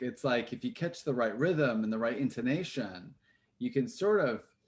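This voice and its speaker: In an American accent, a man with a normal speaking voice talks at a moderate pace and medium pitch with lively intonation. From Texas. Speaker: actor. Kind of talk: interview.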